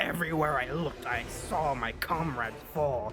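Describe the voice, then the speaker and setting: Using a put-on character voice at a fairly high pitch, a man speaks at a moderate pace over clear background noise. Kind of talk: melodramatic villain speech. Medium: actual play. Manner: grandiose, theatrical.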